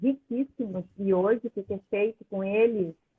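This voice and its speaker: This is an ordinary speaking voice moving at a fairly slow pace. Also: woman. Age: 60s. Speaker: plant-based food educator. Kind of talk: live video chat.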